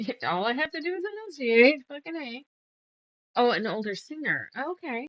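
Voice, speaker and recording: Soft-spoken and high-pitched, a woman talks with very wide pitch swings and long, frequent pauses. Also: moderate pace. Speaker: quilter streaming a sew-along. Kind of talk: casual live-stream chat while sewing. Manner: quiet, soft-spoken; chatty, counting stitches aloud.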